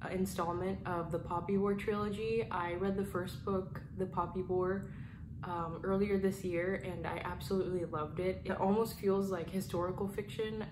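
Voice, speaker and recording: A soft-spoken woman talks at a moderate pace with a medium pitch and fairly even intonation. Noticeable background noise runs underneath. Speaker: booktuber. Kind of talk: casual talk to camera. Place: home room.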